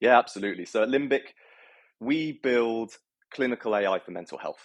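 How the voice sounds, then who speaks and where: Someone with a British accent speaks in a dry, close sound with no echo. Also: man. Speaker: health tech entrepreneur. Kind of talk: interview. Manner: hesitant, many fillers.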